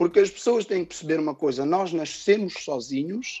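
A man with a high-pitched voice talks in a lively intonation. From Portugal, Cape Verdean family. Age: 30s. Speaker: rapper and music producer. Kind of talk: interview.

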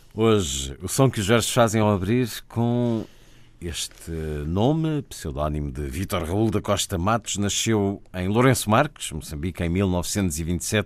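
Speaking at a very slow pace, a man with a fairly low pitch uses lively intonation on a very clean recording with a silent background. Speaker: radio host. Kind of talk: radio introduction and conversation.

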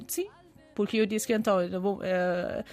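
A woman speaks with a Persian accent. Her pace is moderate. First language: Persian (speaking Portuguese). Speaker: biologist. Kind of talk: interview. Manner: halting.

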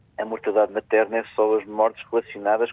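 This man speaks fairly quickly at a fairly low pitch. His intonation stays monotone and flat. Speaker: health official, doctor. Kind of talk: radio interview.

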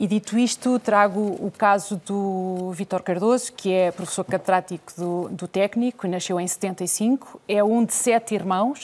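Speaking fairly slowly with hardly any pauses, a woman uses a plain, everyday voice at medium pitch, her intonation fairly even and the sound dry and close with no echo. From Portugal. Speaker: journalist and interviewer. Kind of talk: televised debate.

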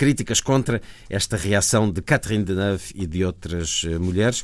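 Very deep, low male voice at a moderate pace, ordinary pitch variation, very clean recording, silent background. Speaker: radio host. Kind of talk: news reading.

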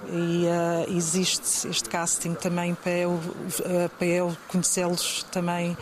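Speaking in a European Portuguese accent at a fairly low pitch, a woman is heard over noticeable background noise. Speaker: model scout. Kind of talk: interview answers. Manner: hesitant, many fillers.

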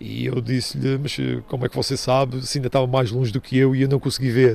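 A man's very rapid speech over noticeable background noise. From Madeira, Portugal. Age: 50s. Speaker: retired football referee. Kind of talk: interview testimony. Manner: halting with fillers.

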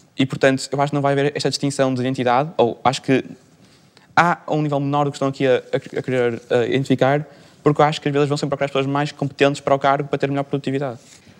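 Talking at a very fast pace, a man uses a fairly high pitch and a monotone, flat intonation. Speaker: student. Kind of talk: panel debate.

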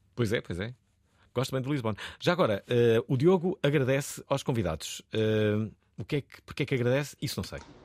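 The man speaks at a moderate pace and a medium pitch. His intonation is lively, and the sound is dry and close with no echo. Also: very clean recording, silent background. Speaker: radio host. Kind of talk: radio talk show. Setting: studio. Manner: animated.

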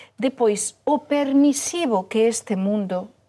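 A woman's fairly high voice with a dark, mellow tone and very wide pitch swings, on a very clean recording with a silent background. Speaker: journalist. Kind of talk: panel discussion.

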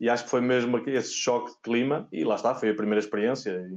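A man at a very fast pace, medium pitch and fairly even intonation. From Portugal, Oliveira do Bairro near Aveiro. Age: 30s. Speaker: tennis physiotherapist. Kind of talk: interview. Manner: halting, many repeated words.

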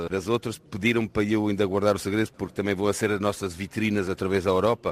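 With a dry, close sound and no echo, a man talks in a normal speaking voice at a fairly low pitch and a fairly quick pace. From France. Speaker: entrepreneur. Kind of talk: interview.

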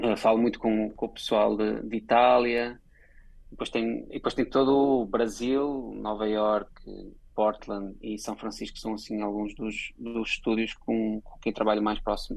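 This man speaks at a fairly slow pace and medium pitch. His intonation is monotone and flat. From Portugal. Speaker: advertising creative director. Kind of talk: interview.

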